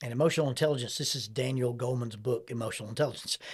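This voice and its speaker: A man's somewhat breathy voice at medium pitch with ordinary pitch variation, on a very clean recording with a silent background. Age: 60s. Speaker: counselor and podcast host. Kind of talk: interview conversation.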